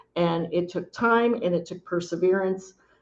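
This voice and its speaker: With a plain, everyday voice, a woman talks at a moderate pace and a fairly low pitch. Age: 60s. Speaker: nurse and home care administrator. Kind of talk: panel discussion.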